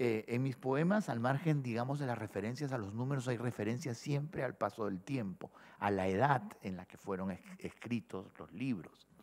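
With lively intonation, a man delivers his words at a moderate speed. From Peru, Lima; Peru. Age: 60s. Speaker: poet. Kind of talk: interview answer. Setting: stage with audience. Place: hall. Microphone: podium.

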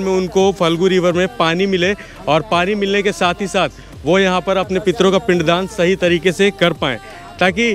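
A man speaks in a high voice at a fairly slow pace, with fairly even intonation and very even loudness. The sound is dry with no echo, and faint music plays in the background. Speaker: travel vlogger. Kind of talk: casual vlog chat. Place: boat. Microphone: phone near.

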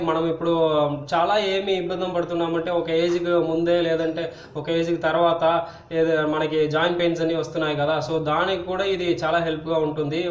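This man's voice sits high in pitch for a man. There is audible echo from the room. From Tamil Nadu, India. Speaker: channel host. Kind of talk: casual talk to camera. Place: home room. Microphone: phone near.

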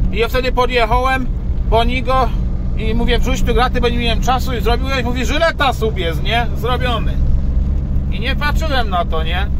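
Loud background noise surrounds a dry sound with no echo as the speech moves at a moderate pace. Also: man. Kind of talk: casual vlog chat. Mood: annoyed but joking. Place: car. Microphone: phone near.

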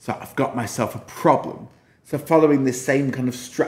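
A natural voice reads the text aloud. Its intonation varies only a little.

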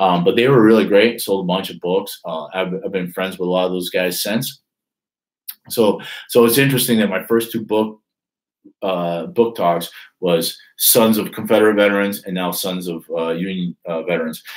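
In a quiet background, a man with a fairly low pitch talks at a moderate pace with ordinary pitch variation. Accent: northern US. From Detroit, US Midwest. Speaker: author and YouTuber; YouTuber. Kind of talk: casual live stream monologue. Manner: halting, many fillers. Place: home room. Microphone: webcam.

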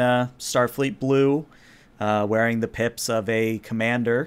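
A man's clear, smooth, fairly bright tone

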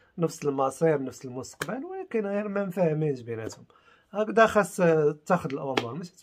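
Over light background noise, a man with a Moroccan accent speaks at a moderate pace in a fairly high pitch, his tone animated and his intonation lively. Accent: Moroccan Arabic (Darija). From Morocco. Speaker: YouTuber. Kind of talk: video commentary. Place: home room. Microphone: phone near.

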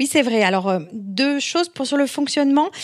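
With lively intonation and a moderate pace, a woman talks in an unremarkable speaking voice. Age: 40s. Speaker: entrepreneur, founder of a beauty review website. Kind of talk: podcast interview.

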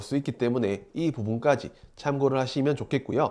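A man speaks in a normal speaking voice at a medium pitch and a moderate pace. The recording is very clean, with a silent background. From South Korea, Daegu. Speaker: stock market YouTuber, office-worker trader. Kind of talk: market commentary monologue. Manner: formal.

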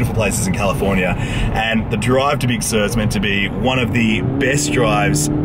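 Loud background noise surrounds a man's voice in a dry sound with no echo. He talks with hardly any pauses. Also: moderate pace. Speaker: travel vlogger. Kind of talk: casual vlog chat. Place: car. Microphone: phone near.

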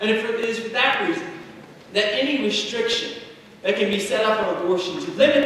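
A raised, projected voice with an American accent moves at a fairly quick pace. Strong room echo and light background noise fill the recording. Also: man. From Indiana. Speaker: political candidate, firefighter. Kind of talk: campaign speech. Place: hall.

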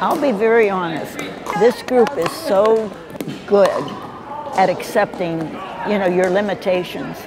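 Pausing long and often, a woman speaks at a fairly slow pace with noticeable background noise. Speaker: pickleball player. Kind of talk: interview answer. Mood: warm, cheerful. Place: hall. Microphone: lapel.

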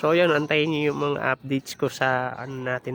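The speaker is a man. Background noise is noticeable throughout. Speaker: vlogger raising birds and animals. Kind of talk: casual vlog narration. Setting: outdoors in backyard.

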